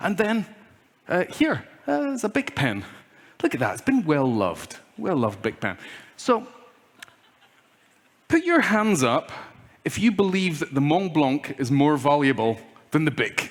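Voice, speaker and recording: With a Scottish accent, the speaker goes at a moderate pace with very wide pitch swings and long, frequent pauses. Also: man, fairly high pitch for a man. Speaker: keynote speaker. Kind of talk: conference keynote talk. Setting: stage with audience. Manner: animated.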